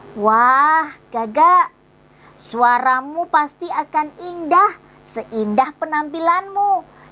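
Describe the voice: A woman puts on a character voice and speaks at a very slow pace.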